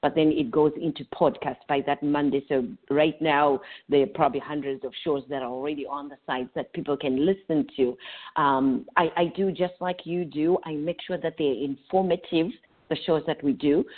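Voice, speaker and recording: A woman's very deep, low voice at a moderate pace, with ordinary pitch variation. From Zimbabwe. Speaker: psychotherapist. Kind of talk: interview.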